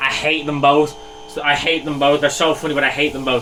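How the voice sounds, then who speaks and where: A man with an Irish accent at a fairly quick pace, with noticeable background noise. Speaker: artist, YouTuber. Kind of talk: casual sketchbook walkthrough. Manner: animated, self-deprecating.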